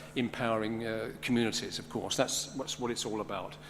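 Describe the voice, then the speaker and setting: A man with a London accent and medium pitch speaks at a fairly quick pace. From London, England. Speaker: conference speaker. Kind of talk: conference presentation.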